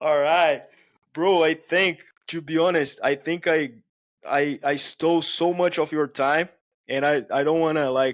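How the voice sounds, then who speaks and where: In a Brazilian accent, a man with a fairly high pitch talks at a fairly slow pace, his intonation monotone and flat. His loudness stays very even on a very clean recording with a silent background. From Brazil, Itaquera (São Paulo). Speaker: podcast host. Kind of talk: casual chat.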